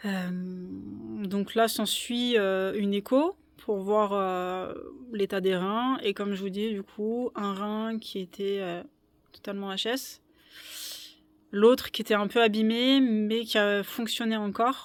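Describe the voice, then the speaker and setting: The speaker talks at a very slow pace with long, frequent pauses, on a very clean recording with a silent background. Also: woman, medium pitch for a woman. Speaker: small-farm autonomy vlogger. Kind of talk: personal vlog storytelling. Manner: halting, many hesitations.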